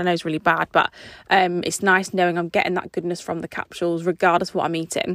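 A woman talks at a fairly quick pace with a medium pitch. The recording is very clean with a silent background, and the sound is dry and close with no echo. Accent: English. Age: 30s. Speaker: podcast host. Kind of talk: casual monologue.

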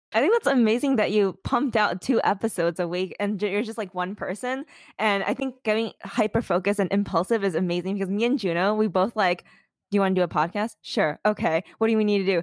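A woman speaks at a very fast pace. The recording is very clean and dry, close with no echo, over a silent background. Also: medium pitch for a woman, ordinary pitch variation. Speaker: podcast host. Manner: fast talker.

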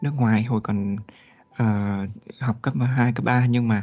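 Music plays in the background as a man speaks in a medium pitch with fairly even intonation. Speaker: former international student. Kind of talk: podcast interview. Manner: halting.

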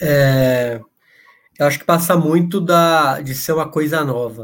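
The speaker is a man. He talks at a fairly slow pace with fairly even intonation. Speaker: podcast host. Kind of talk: casual chat. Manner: halting.

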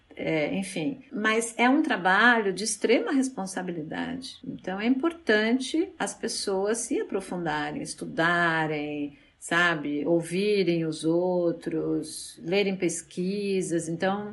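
Her medium-pitched voice moves at a very slow pace with hardly any pauses, and this woman's intonation is lively. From Brazil, São Paulo. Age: 50s. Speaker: psychologist and sex therapist. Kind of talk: interview.

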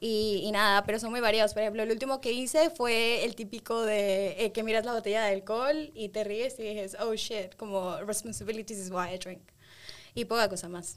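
A woman speaks in a normal speaking voice at a moderate pace, her fairly high pitch carried on fairly even intonation. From Spain and London, Ecuadorian parents. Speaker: manager. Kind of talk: casual chat.

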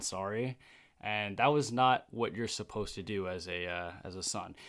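In a plain, everyday voice, a man speaks at a fairly low pitch on a very clean recording with a silent background. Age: young. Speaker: host's son. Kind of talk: casual chat.

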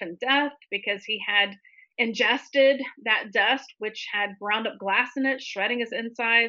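A woman speaks with an American accent in a plain, everyday voice. Her pitch is fairly high with ordinary variation, and her pace is fairly slow. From US South, Tallahassee, Florida. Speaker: author. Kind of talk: interview testimony.

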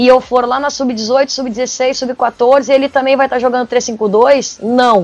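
Speaking at a very slow pace, a woman uses a high pitch with fairly even intonation. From Porto Alegre, southern Brazil. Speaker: football coach. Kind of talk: podcast interview. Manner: halting, frequent repetitions.

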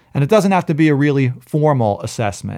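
With an American accent and a normal speaking voice, a man talks at a fairly quick pace on a very clean recording with a silent background. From New York, Brooklyn. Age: 40s. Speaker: personal trainer. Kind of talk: casual chat.

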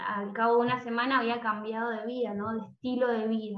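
An ordinary speaking voice belongs to a woman with a fairly high pitch and fairly even intonation. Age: 20s. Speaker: music teacher and coach. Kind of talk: interview conversation.

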